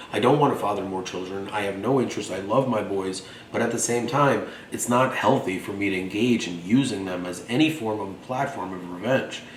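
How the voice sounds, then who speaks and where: In a room with audible echo and noticeable background noise, a man with a fairly low pitch talks at a fairly quick pace in an animated tone, using ordinary pitch variation. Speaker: vlogger. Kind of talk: monologue. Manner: fast.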